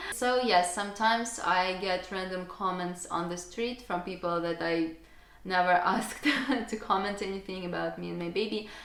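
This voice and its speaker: A woman speaks at a medium pitch with a Russian accent, and there is noticeable background noise. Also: ordinary pitch variation, moderate pace. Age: young. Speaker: YouTuber and mother. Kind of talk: casual Q&A talk to camera.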